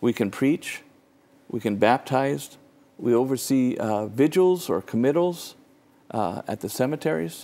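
Speaking at a medium pitch and a fairly slow pace, the man has a dark, mellow tone and lively intonation. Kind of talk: interview answer. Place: studio. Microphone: lapel.

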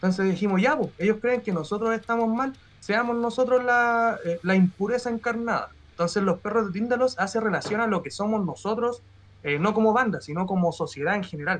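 Fairly quick, a man speaks at a high pitch with ordinary pitch variation. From Chile. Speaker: metal band musician; guest. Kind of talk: casual interview chat; interview answer. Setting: live stream video call. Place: home room. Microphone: video call.

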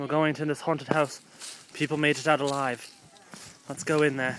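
Light background noise behind a man's dry voice with no echo. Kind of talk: casual vlog chat. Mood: playful, mock-scared. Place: street. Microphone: phone near.

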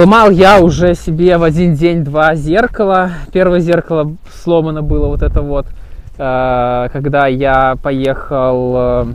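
A man speaks at a very slow pace with ordinary pitch variation. The sound is dry with no echo, over light background noise. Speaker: motorcycle owner vlogger. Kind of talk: casual vlog chat. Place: open country.

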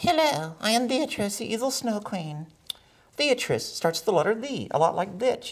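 A cartoonish character voice speaks at a moderate pace. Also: man, high pitch for a man. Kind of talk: ventriloquist puppet comedy. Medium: comedy sketch. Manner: haughty, campy, sassy.

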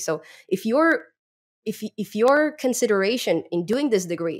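A woman's medium-pitched voice with big pitch swings, on a very clean recording with a silent background

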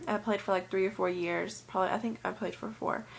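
Ordinary pitch variation in a woman's speech. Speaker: student vlogger. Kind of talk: casual vlog chat. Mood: relaxed, lightly amused. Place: home room. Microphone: webcam.

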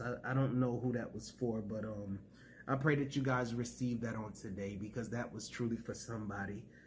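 A somewhat breathy man's voice over light background noise. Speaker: preacher and YouTube ministry host. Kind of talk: fervent prayer and preaching. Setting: home video recording for YouTube. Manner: fervent, emotional, call-and-response style, praise-filled; animated, exclamatory. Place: home room. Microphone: phone near.

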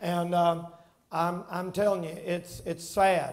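This man speaks with a high pitch. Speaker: preacher. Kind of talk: sermon. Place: church. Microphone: headset.

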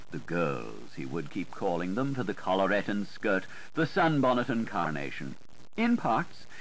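A man at a moderate pace, with very wide pitch swings and vocal fry. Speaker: audiobook narrator. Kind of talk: audiobook literary reading.

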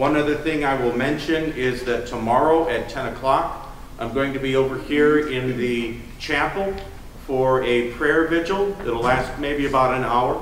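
Audible room echo and light background noise surround a man as he speaks. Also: ordinary pitch variation, moderate pace. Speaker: pastor giving announcements. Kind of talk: service announcements. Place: church.

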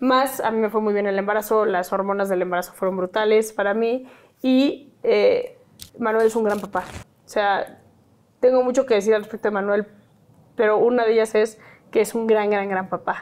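A woman speaks with a Mexican accent. Her pace is moderate. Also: fairly even intonation. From Mexico. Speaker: activist and psychologist; guest. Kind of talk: interview. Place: home room. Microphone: lapel.

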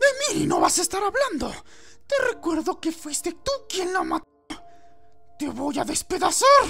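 Faint music plays behind a man doing a put-on character voice at a moderate pace with long, frequent pauses. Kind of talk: comic parody dubbing. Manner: panicky, then cold and commanding, then enraged.

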